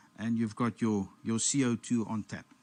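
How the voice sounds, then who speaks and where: A man at a fairly slow pace over a quiet background. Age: 60s. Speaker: amateur radio net host. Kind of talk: show-and-tell on a live radio net. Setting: amateur TV satellite net. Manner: halting, self-correcting.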